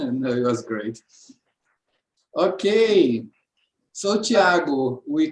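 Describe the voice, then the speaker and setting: A man's fairly high voice with a Portuguese accent, very wide pitch swings, a very slow pace and long, frequent pauses. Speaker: seminar host. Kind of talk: academic Q&A. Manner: halting.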